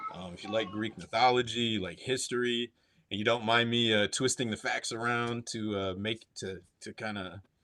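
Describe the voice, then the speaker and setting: With a bright, sharp tone and medium pitch, a man talks at a moderate pace using fairly even intonation. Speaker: indie comic book writer and artist. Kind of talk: casual interview. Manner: halting, many fillers and repeats.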